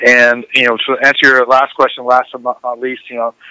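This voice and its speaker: A man's bright, sharp voice at a very fast pace, dry and close with no echo. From Southern California (South Orange County). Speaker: former MMA fighter and action sports athlete. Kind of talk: podcast interview.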